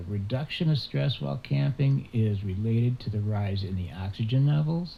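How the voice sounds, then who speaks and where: At a fairly low pitch, a man talks at a moderate pace in a dark, mellow, somewhat breathy tone with very wide pitch swings. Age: 70s. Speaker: outdoors camping vlogger. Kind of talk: casual talk to camera.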